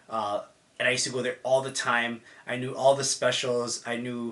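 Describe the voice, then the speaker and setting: With a Toronto accent, a man talks in a bright, sharp tone and a monotone, flat intonation. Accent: Toronto Canadian English. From Canada, Mississauga near Toronto. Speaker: vlogger. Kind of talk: personal story. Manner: casual.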